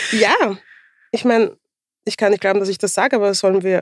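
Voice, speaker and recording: A woman at a medium pitch talks at a fairly quick pace, recorded with a dry, close sound and no echo. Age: 40s. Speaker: podcast co-host. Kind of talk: casual chat.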